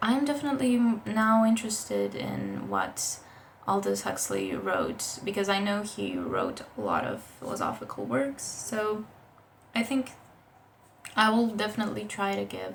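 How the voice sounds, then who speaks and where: A woman at a moderate pace amid audible room echo and noticeable background noise. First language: not English. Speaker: book vlogger. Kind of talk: casual book review vlog. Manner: casual, with fillers and restarts.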